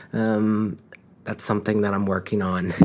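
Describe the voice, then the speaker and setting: A man's fairly low voice unfolds at a moderate pace. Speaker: astrology podcast host. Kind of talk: recorded episode intro; casual interview conversation. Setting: in guest's living room. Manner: quiet, not projecting.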